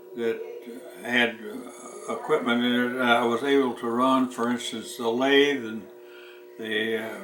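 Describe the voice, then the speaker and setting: A man speaks fairly slowly in a flat monotone, with noticeable background noise and audible room echo. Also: medium pitch for a man. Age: 90s. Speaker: war veteran. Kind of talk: casual chat. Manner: halting.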